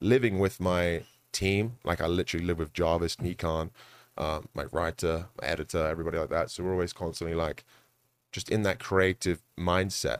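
On a very clean recording with a silent background and a dry, close sound with no echo, a man speaks at a moderate pace in a very deep, low pitch with ordinary pitch variation. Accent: London. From London, England. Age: 20s. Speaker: esports content creator and amateur boxer. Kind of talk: casual chat.

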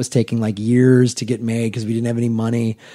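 Spoken at a very fast pace with an American accent, the recording is very clean with a silent background. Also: man. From Chicago, US Midwest. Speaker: comedian. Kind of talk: casual chat.

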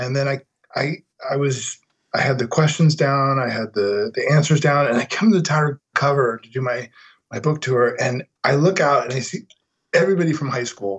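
A man speaks at a moderate pace in a fairly high pitch, somewhat breathy, with ordinary pitch variation. His loudness swings widely. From Denver, Colorado. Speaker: novelist and writing teacher. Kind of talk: casual chat. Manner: animated.

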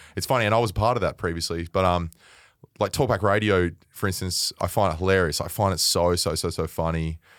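With an Australian accent, a man speaks at a fairly quick pace. His pitch is very deep and low. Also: ordinary pitch variation. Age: 30s. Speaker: media personality, former footballer. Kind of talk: casual chat.

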